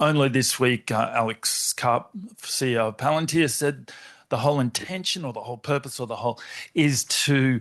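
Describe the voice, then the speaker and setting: Against a quiet background, a man talks at a fairly slow pace in an unremarkable speaking voice. His pitch is medium, with ordinary variation. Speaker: academic audience member. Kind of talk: audience question.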